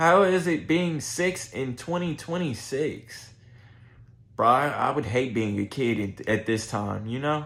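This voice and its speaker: A man with an American accent at a fairly slow pace, his intonation lively. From Texas, Houston. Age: 20s. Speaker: streamer. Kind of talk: casual chat. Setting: livestream.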